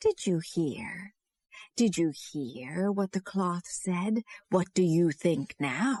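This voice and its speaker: A woman uses a put-on character voice at a medium pitch, with lively intonation and a very slow pace. The sound is dry and close, with no echo. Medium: read story.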